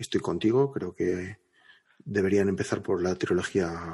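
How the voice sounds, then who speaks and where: Over a quiet background, a man with a somewhat breathy voice talks at a moderate pace. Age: 30s. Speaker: podcast co-host. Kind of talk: casual chat.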